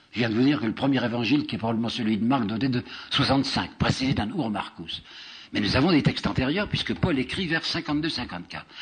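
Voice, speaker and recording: The intonation is lively. The pace is very fast. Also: man, medium pitch for a man. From France. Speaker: historian and lecturer. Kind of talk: public lecture.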